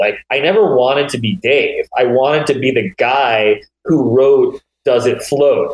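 This man's moderate-paced speech has a dry, close sound with no echo. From US Northeast (small-town Pennsylvania, New York border). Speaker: TV comedy writer and producer. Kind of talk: casual chat.

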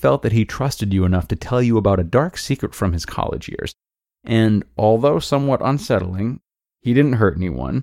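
Quiet background behind someone reading aloud in a natural voice.

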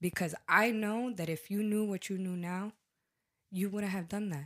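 On a very clean recording with a silent background, a woman at medium pitch talks at a moderate pace in an unremarkable speaking voice. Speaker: podcast guest. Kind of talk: casual chat.

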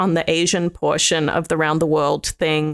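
The woman's fairly low voice holds a monotone, flat intonation, recorded very cleanly against a silent background with a dry, close sound and no echo. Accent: Australian. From Australia. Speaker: food critic. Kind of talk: casual chat.

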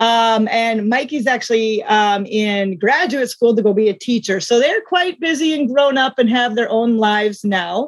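A woman with an American accent has an unremarkable speaking voice, fairly high in pitch with ordinary pitch variation. She talks at a moderate pace with very even loudness. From US Midwest (South Dakota). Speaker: small business owner, former meteorologist. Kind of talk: interview.

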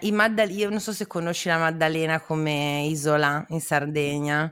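A woman speaks at a moderate pace with a fairly low pitch and ordinary pitch variation. Her recording is very clean, with a silent background. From northern Italy, Parma. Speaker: podcast host. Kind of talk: casual chat; scripted narration.

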